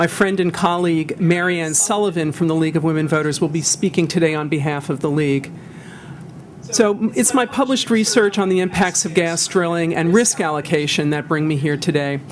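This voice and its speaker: This woman talks fairly quickly with an American accent, her pitch fairly low and its variation ordinary. Noticeable background noise sits under her voice. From New York. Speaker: lawyer. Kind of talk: testimony. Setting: public hearing.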